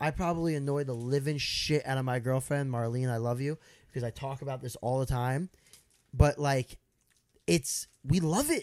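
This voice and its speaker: A man with a normal speaking voice, medium pitch, fairly even intonation and a moderate pace. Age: 30s. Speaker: social media content creator. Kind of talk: casual chat.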